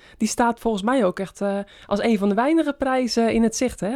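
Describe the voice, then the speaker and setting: A woman speaks with fairly even intonation in a dark, mellow tone. The recording is very clean, with a silent background. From West-Friesland, Netherlands. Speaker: podcast host, former pro cyclist. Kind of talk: interview.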